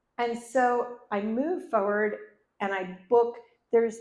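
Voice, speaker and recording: The woman's fairly high pitch comes with audible room echo. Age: 60s. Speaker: storyteller. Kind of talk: live storytelling performance. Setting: stage with audience.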